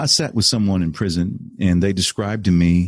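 Delivered at a moderate pace with an American accent, an unremarkable speaking voice shows ordinary pitch variation in a dry, close sound with no echo. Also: man. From Texas. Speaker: real estate investor and podcast host. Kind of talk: interview testimony.

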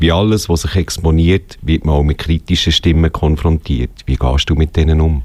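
A man's very deep, low voice at a moderate pace, with hardly any pauses, fairly even intonation and very even loudness, over noticeable background noise. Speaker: radio host. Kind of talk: radio magazine presenting and interviewing.

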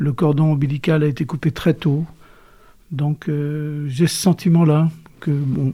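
A man's somewhat breathy, dark, mellow voice, fairly high in pitch, fairly slow and monotone, flat in intonation. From western France, Cholet (Maine-et-Loire). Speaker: retired journalist and author. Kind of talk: interview.

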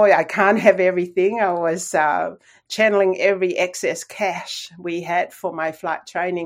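In a Tongan accent, a woman speaks at medium pitch and a moderate pace with ordinary pitch variation, on a very clean recording with a silent background. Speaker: airline pilot and author. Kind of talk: interview.

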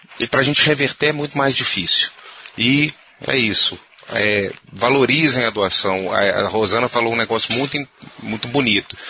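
Against noticeable background noise, a man talks at a moderate pace and medium pitch with ordinary pitch variation. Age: 40s. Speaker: physician, organ procurement coordinator. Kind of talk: casual discussion. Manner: animated.

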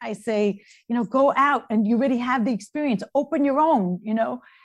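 On a very clean recording with a silent background, a woman speaks with a New York accent and ordinary pitch variation. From Brooklyn, New York. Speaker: interior designer. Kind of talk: interview.

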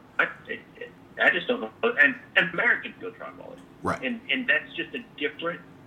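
At a moderate pace, a man talks with big swings in loudness over noticeable background noise. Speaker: dentist and gun dog trainer. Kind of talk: casual interview chat. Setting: phone call. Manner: eloquent.

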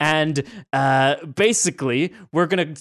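A man with a fairly high pitch and lively intonation, an ordinary speaking voice, against a quiet background. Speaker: podcast co-host. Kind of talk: casual banter podcast chat.

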